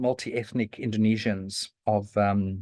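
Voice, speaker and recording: Recorded dry and close with no echo, a man speaks over a quiet background. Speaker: historian giving a talk. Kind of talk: lecture. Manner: halting, many fillers and restarts.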